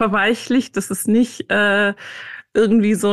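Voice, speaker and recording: Against a quiet background, a woman with a medium pitch talks with fairly even intonation. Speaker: author and meditation teacher. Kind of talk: interview.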